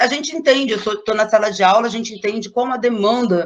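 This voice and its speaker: A woman speaks at a very fast pace. Her intonation is fairly even. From Brazil, Angra dos Reis. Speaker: schoolteacher. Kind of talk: online talk / panel presentation.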